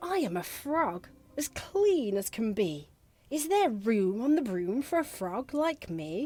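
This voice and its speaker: In a put-on character voice, the speaker croaks along at a fairly slow pace with very wide pitch swings. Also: woman, fairly high pitch for a woman. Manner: polite.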